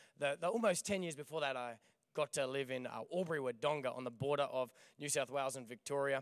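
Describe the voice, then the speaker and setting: Dry and close with no echo, a man's fairly high voice races at a very fast pace with ordinary pitch variation. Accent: Australian. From Australia. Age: young. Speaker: pastor. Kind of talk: sermon. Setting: church stage. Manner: animated.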